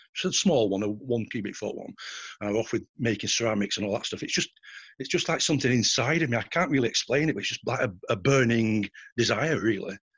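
With a Lancashire accent, a man talks at a very fast pace and medium pitch. His pitch varies in an ordinary way over a quiet background. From northern England, Bolton. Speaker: art forger. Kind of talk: interview.

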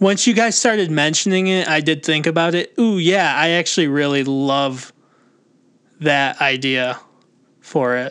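In an unremarkable speaking voice, a man talks with fairly high pitch, ordinary pitch variation and a fairly slow pace against a quiet background. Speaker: podcast host. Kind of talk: casual chat.

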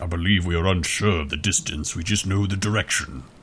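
In a put-on character voice, a man performs. The sound sits very deep and low. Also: fairly quick pace. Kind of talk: fake character voice. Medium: actual play. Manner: formal, stilted.

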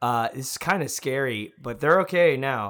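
This man has a normal speaking voice, with an American accent, a fairly high pitch, lively intonation and a moderate pace, on a very clean recording with a silent background. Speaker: online video creator and musician. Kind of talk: casual chat.

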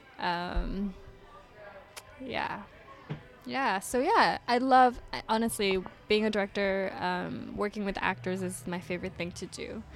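Music plays in the background as a woman of medium pitch speaks at a fairly slow pace with lively intonation and long, frequent pauses. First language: not English (English is third language). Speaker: film director. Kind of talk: casual interview chat. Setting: studio. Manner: shy, soft-spoken, easygoing.

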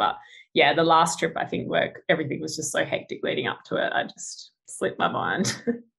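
In an Australian accent, a woman talks at a very fast pace. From Australia, Adelaide. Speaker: engineer and travel photographer. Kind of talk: casual interview.

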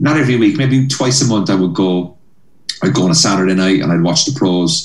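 A man with a Cork accent speaks at a very deep, low pitch. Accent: Irish (Cork). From Cork, Ireland. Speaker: stand-up comedian. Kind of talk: interview chat about comedy career. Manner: animated, storytelling.

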